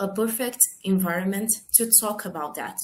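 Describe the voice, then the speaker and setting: A woman speaks with a Portuguese accent and ordinary pitch variation. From Brazil. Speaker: film producer and screenwriter. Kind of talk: panel Q&A. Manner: halting.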